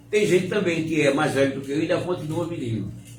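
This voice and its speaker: An animated male voice amid noticeable background noise and audible room echo. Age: 70s. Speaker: religious live-stream host. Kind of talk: informal preaching talk on a live stream.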